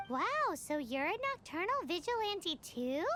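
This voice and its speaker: A squeaky put-on character voice hits an extremely high pitch with very wide pitch swings at a moderate pace. Clear background noise is present. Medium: video game. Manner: excitable, exclamatory.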